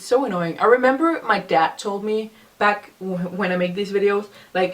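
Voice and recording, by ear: A woman speaks with ordinary pitch variation, and audible room echo surrounds her voice. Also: medium pitch for a woman, moderate pace.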